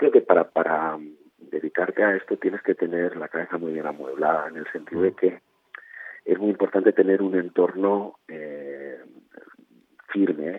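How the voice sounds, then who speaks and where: At a moderate pace, a man speaks with a very deep, low pitch and fairly even intonation. His loudness swings widely, and he takes long, frequent pauses. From Spain, Barcelona. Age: 50s. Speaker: novelist. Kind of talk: interview.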